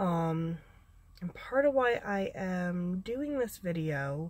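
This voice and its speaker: At a fairly low pitch, a woman talks in a somewhat breathy voice. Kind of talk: casual talk to camera. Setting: inside a car. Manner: hesitant, many filler sounds.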